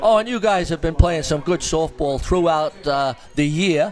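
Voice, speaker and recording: A man with an American accent speaks at a high pitch and a moderate pace, with ordinary pitch variation. Music plays in the background. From New York, US. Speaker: softball commentator interviewing players. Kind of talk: casual sideline interview.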